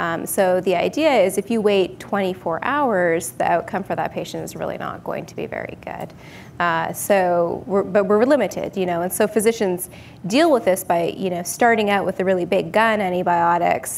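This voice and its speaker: There is light background noise as the speaker, with a Canadian accent and vocal fry, goes at a moderate pace with ordinary pitch variation. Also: woman. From Canada, northern British Columbia. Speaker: clinical microbiologist; guest. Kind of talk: technical interview. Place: studio.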